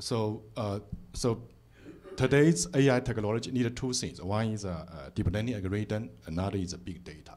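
A man with a fairly low pitch speaks with long, frequent pauses. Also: ordinary pitch variation, moderate pace. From China. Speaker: professor. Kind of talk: audience question. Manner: halting. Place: hall. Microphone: handheld.

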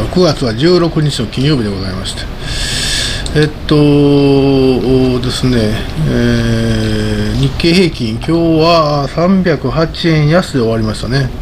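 Against noticeable background noise, a man speaks at a very slow pace with ordinary pitch variation. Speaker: market commentator. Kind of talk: solo commentary video. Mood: relaxed, often smiling. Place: home room. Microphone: studio mic.

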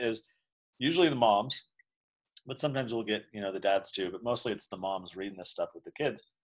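A man's fairly quick speech with lively intonation against a quiet background. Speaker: founder of a libertarian education institute and children's book author; interview guest. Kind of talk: casual interview chat. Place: office. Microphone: video call.

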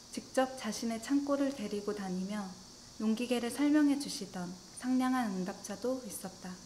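Against light background noise, a woman with a fairly high pitch talks at a moderate pace with ordinary pitch variation. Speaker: government statistics office ASMR reader. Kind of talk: ASMR reading of a statistics survey essay. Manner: soft-spoken, whispery, relaxing. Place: home room.

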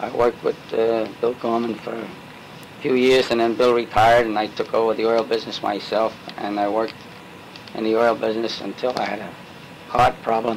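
A man talks at a fairly quick pace in a monotone, flat intonation. Light background noise can be heard. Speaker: interviewee. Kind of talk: interview answer. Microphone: old recording.

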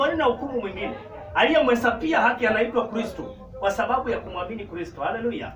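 Against noticeable background noise, a man speaks at an extremely high pitch with ordinary pitch variation. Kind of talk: sermon. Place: church. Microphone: camera far.

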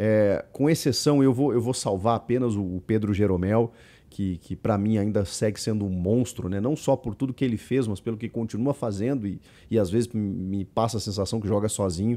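Dark, mellow tone at a moderate pace, with ordinary pitch variation. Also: man, fairly low pitch for a man. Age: 40s. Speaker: football commentator. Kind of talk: video commentary. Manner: animated. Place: home room. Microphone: studio mic.

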